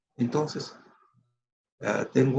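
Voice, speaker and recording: A man speaks at a fairly slow pace and a medium pitch. His voice has vocal fry and ordinary pitch variation. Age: 70s. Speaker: retired physician. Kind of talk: lecture. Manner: halting, many fillers.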